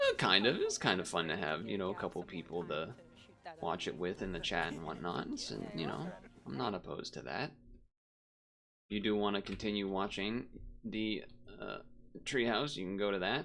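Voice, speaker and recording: A man with a fairly low pitch speaks at a moderate pace with lively intonation. He leaves long, frequent pauses while music plays in the background. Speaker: streamer. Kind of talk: live stream watch-along chat. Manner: casual, halting.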